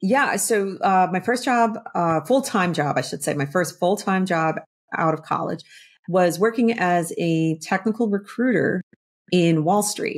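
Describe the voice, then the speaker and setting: A woman with an American accent uses an ordinary speaking voice, medium in pitch with ordinary pitch variation, at a fairly slow pace. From northern New Jersey. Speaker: army veteran and business owner. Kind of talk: interview. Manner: casual, many fillers.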